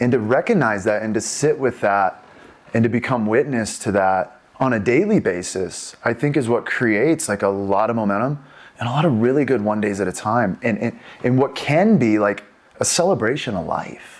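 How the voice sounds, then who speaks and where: A man speaks at a moderate pace in a plain, everyday voice. His medium pitch shows ordinary pitch variation. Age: 40s. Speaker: podcast host, recovery center. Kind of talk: casual interview.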